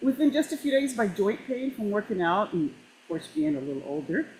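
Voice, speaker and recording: A woman's somewhat breathy voice swings very widely in pitch at a moderate pace. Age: 60s. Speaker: product user giving testimony. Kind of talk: testimony. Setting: video call. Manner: animated.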